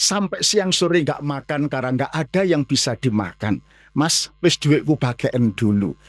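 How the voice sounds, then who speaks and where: A man with an ordinary speaking voice and fairly high pitch talks at a fairly slow pace with lively intonation and hardly any pauses. The sound is dry and close with no echo, and the recording is very clean with a silent background. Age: 60s. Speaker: Islamic preacher. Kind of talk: mosque sermon lecture. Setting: mosque.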